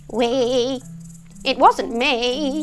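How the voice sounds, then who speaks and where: Using a put-on character voice, a woman speaks at a high pitch with clear background noise. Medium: read story.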